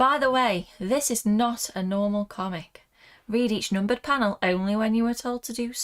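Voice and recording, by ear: Someone is reading aloud in a natural voice, the pitch varying by an ordinary amount.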